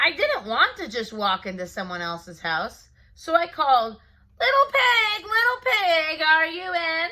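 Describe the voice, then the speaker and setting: A woman does a put-on character voice at an extremely high pitch and a moderate pace. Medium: read story. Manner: folksy, self-justifying.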